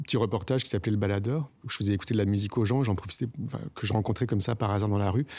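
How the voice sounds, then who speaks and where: This man talks at a very fast pace in a fairly low, somewhat breathy voice with fairly even intonation. The recording is very clean, with a silent background. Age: 40s. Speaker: podcaster and former radio journalist. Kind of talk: personal testimony interview. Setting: outdoors in his garden. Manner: hesitant, many filler sounds.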